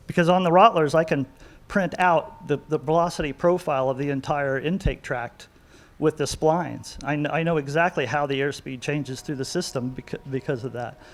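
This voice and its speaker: Talking at a fairly quick pace, a man with an unremarkable speaking voice uses a fairly high pitch and ordinary pitch variation. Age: 60s. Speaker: cylinder head and manifold porter. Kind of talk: technical interview.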